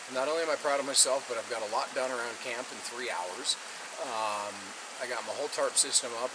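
Loud background noise fills the clip. A man talks through it at a fairly quick pace. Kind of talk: casual vlog chat. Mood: reflective, hopeful. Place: waterside. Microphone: camera far.

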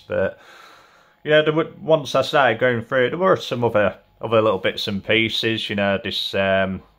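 A man speaks at a fairly quick pace with ordinary pitch variation, the background quiet. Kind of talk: casual vlog chat. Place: home room.

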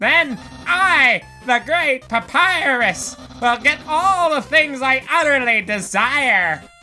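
A man puts on a character voice and speaks at a very slow pace. Music plays clearly in the background. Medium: dub. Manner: loud, shouty, theatrical.

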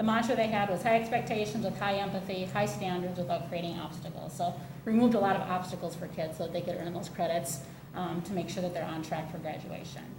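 A woman talking very fast in a room with audible echo and noticeable background noise. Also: fairly low pitch for a woman, ordinary pitch variation. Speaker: school district administrator. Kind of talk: presentation to school board. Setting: school board meeting.

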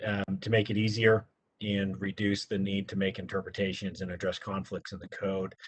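A man speaks with a somewhat breathy voice. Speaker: city planning staff member. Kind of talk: staff presentation at public meeting. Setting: city planning commission meeting. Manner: fast.

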